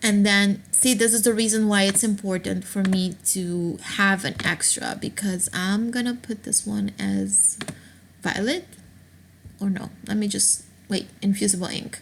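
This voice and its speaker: A woman speaks somewhat breathily at a fairly slow pace and medium pitch, with ordinary pitch variation. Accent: non-native. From Aruba. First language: not English. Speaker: craft tutorial maker. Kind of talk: screen-recorded software tutorial.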